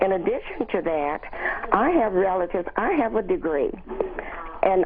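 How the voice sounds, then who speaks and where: Noticeable background noise sits behind a woman's voice. She speaks at medium pitch with lively intonation. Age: 70s. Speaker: caller, retiree. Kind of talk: call-in comment. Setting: phone call.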